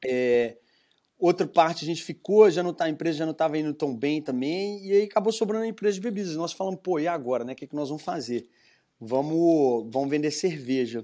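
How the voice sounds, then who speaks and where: In a Minas Gerais accent, a man speaks at a fairly quick pace with a dark, mellow tone, fairly high pitch and lively intonation, in a very clean recording with a silent background. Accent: Minas Gerais Brazilian Portuguese. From Brazil, Minas Gerais (Belo Horizonte). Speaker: entrepreneur, craft brewery founder. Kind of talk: interview, casual conversation.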